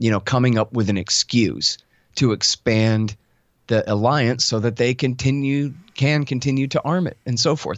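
An American accent marks this man's plain, everyday voice, delivered at medium pitch and a moderate pace. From Texas, Austin. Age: 40s. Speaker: foreign policy commentator and radio host. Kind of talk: interview conversation.

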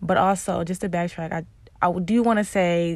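A woman with a fairly low voice talks at a moderate pace, her intonation fairly even. The recording is very clean, with a silent background. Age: 20s. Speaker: vlogger. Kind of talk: casual personal monologue.

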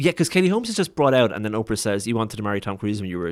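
Here a man with a Waterford Irish accent talks at a fairly low pitch with lively intonation. The recording is very clean, with a silent background. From Ireland, Waterford. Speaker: podcast host. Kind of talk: casual chat. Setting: studio.

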